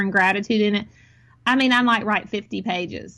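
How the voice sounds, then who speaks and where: Her voice is a normal speaking voice, a woman's at medium pitch with fairly even intonation. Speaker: podcast guest. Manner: conversational, reflective.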